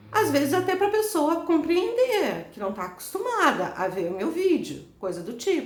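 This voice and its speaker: An animated woman with an extremely high pitch and very wide pitch swings talks at a fairly slow pace amid audible room echo. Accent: Brazilian. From Brazil. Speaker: YouTuber. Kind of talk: vlog monologue.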